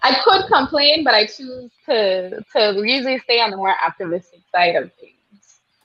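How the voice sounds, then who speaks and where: A woman with a Virgin Islands accent speaks at a high pitch and a moderate pace, with hardly any pauses. Her pitch makes very wide swings, and her loudness swings a lot too. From US Virgin Islands, St. Croix. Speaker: nurse practitioner and midwife. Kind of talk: interview.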